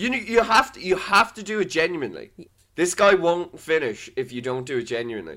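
A man with a Dublin accent, high pitch, a bright, sharp tone, very wide pitch swings, big swings in loudness and a fairly quick pace. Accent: Dublin Irish. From Ireland, Dublin. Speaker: podcast co-host. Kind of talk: casual chat.

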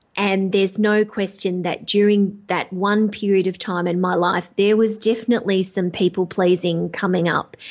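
A woman speaks with an Australian accent in a medium pitch, at a moderate pace. Her intonation is flat and monotone, with hardly any pauses. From Australia, rural. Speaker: life coach. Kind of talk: interview.

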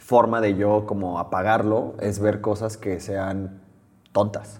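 Speaking at a very slow pace, a man keeps his fairly low voice monotone, with flat intonation. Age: 30s. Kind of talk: interview.

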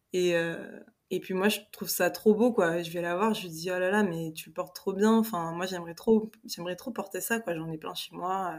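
A woman with a plain, everyday voice speaks at a moderate pace and medium pitch, her intonation fairly even and her loudness swinging widely, on a very clean recording with a silent background. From Paris, France. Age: 20s. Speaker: fiction author. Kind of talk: casual interview chat.

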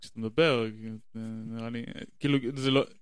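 A man speaks at a medium pitch. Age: 30s. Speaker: podcast guest. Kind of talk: casual chat. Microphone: shared single channel, close to mic, plosives.

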